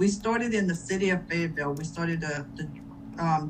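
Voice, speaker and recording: Audible room echo surrounds a woman speaking at a fairly quick pace with a fairly low pitch. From Louisiana. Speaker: chamber of commerce leader. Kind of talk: panel discussion.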